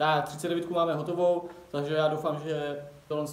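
A man speaks in a monotone, flat way. Light background noise and audible room echo surround him. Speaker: car hobby vlogger. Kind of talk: casual vlog chat. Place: garage. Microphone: phone near.

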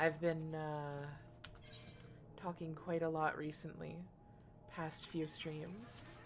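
A woman's very deep, low voice at a very slow pace, with long, frequent pauses, audible room echo, and music in the background. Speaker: gaming streamer. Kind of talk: live gameplay commentary. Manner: casual, rambling with fillers.

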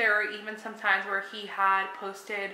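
Audible room echo surrounds a woman's voice. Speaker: true crime storyteller. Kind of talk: casual vlog chat. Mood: calm, serious. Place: home room. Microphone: phone near.

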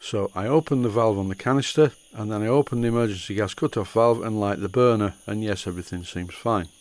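A man with a Yorkshire accent, his voice fairly low and ordinary in pitch variation. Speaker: model steam engineer. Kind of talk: tutorial narration.

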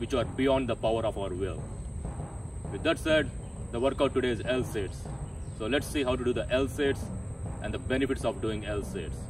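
Moderate-paced speech over noticeable background noise. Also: man, dry sound with no echo. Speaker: fitness vlogger. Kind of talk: tutorial. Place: garden. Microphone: camera far.

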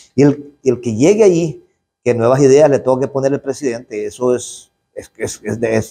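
With a Salvadoran accent, the voice has a dark, mellow tone, a moderate pace and ordinary pitch variation. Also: man, medium pitch for a man. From El Salvador, rural area. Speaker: politician, legislator. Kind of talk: interview statement to press. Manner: outspoken, forceful; halting, with repetitions. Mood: critical, indignant.

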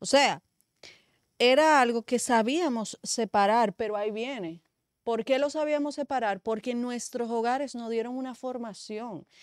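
A high-pitched woman's voice at a fairly slow pace with ordinary pitch variation, dry sound with no echo and a quiet background. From Dominican Republic, San Pedro de Macorís. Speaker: media commentator. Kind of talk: talk show discussion. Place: studio. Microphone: studio mic.

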